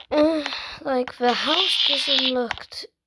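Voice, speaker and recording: A man's extremely high voice is raised and projected, moving at a very slow pace with ordinary pitch variation. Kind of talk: casual gameplay commentary.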